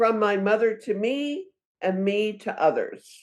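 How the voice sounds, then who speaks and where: A woman's fairly high pitch with ordinary pitch variation. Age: 70s. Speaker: author and community advocate. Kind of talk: interview.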